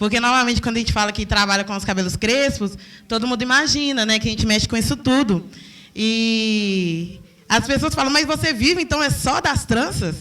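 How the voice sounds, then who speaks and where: This is a woman's voice. Her pitch is fairly high. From Belo Horizonte, Brazil. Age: 20s. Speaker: hair braider and entrepreneur. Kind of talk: talk to an audience. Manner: animated.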